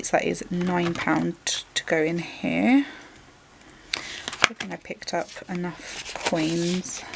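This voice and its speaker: A woman with a Welsh accent speaks at a very slow pace in a fairly low pitch. Her pitch variation is ordinary, with noticeable background noise behind her. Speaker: budgeting vlogger counting cash into envelopes. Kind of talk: informal. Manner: casual, chatty, thinking aloud.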